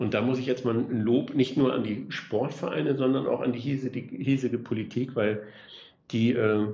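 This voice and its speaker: Speaking at a moderate pace, a man has a medium-pitched, somewhat breathy voice and fairly even intonation. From northwest Germany (Oldenburg area). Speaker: mayor. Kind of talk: casual interview.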